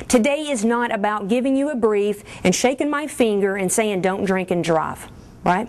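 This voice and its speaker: Someone with a strong Kentucky accent speaks at a moderate pace in an animated tone with lively intonation, over noticeable background noise. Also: woman, fairly high pitch for a woman. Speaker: military officer. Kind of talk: briefing to an audience.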